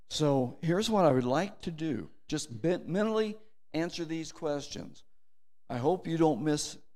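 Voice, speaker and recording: With lively intonation, a man speaks at a fairly high pitch. Audible room echo surrounds his voice. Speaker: church elder and Marine veteran. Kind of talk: communion meditation. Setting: church.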